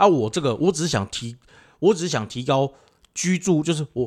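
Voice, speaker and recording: A plain, everyday voice from a man, fairly quick and lively in intonation, in a very clean recording with a silent background. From Taiwan, Pingtung (southern). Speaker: podcast co-host. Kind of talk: casual chat.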